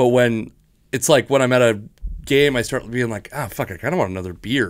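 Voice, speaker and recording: Over a quiet background, a man with an American accent speaks at a medium pitch with ordinary pitch variation. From Washington state, US. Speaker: comedian and podcast host. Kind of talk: casual chat. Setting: home studio. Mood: joking, relaxed banter. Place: studio. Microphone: studio mic.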